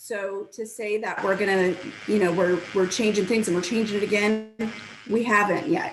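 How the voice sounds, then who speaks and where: A woman with a fairly high pitch speaks with ordinary pitch variation over noticeable background noise. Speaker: public commenter at school board meeting. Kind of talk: public comment.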